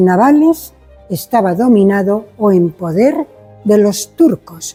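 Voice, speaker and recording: Music plays behind the speech. The speaker is a woman with a medium pitch. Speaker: museum guide. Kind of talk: guided museum tour explanation.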